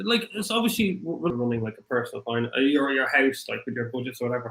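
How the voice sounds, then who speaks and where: A man speaks with a strong Irish accent in a bright, sharp tone, his pitch fairly high. His voice leaps through very wide pitch swings. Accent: thick Irish. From Ireland. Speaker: crypto livestream host. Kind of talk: livestream chat. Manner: halting, many fillers.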